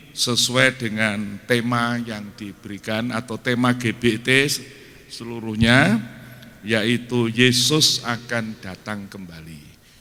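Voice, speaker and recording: Very slowly and at a medium pitch, a man speaks with fairly even intonation and big swings in loudness. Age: 80s+. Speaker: guest preacher. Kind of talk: sermon. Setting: church.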